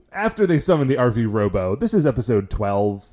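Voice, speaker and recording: A man with an American accent and an ordinary speaking voice, medium pitch, lively intonation and a moderate pace. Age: 30s. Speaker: podcast host. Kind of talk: casual chat.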